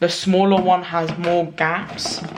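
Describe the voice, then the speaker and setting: Someone with a London accent speaks over noticeable background noise. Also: woman. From London, UK. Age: 20s. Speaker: small sauce business owner. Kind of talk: casual vlog talk to camera.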